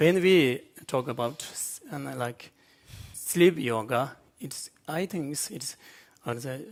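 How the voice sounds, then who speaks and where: At a very slow pace, a man speaks at medium pitch with ordinary pitch variation and big swings in loudness. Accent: Tibetan. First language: Tibetan. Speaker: Buddhist monk scholar. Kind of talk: panel discussion. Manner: halting.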